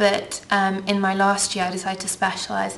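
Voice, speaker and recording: Amid audible room echo and noticeable background noise, a woman with a southern English accent speaks at a medium pitch and a moderate pace, her intonation monotone and flat. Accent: British English (southern, educated). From England (from age eight; born Russian, lived in Ukraine). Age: 20s. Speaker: beauty vlogger. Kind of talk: casual Q&A vlog. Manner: chatty, many filler ums.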